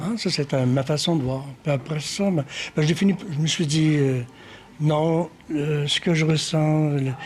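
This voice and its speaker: A somewhat breathy man speaks with a fairly high pitch at a fairly slow pace. His loudness stays very even and his intonation fairly even. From Quebec, Magdalen Islands and Quebec City. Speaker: painter and sculptor. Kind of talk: interview. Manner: hesitant, many fillers.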